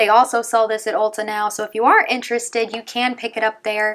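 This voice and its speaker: Recorded very cleanly against a silent background, the talking proceeds at a fairly quick pace. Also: woman. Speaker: beauty youtuber. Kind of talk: casual product review. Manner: fast; animated.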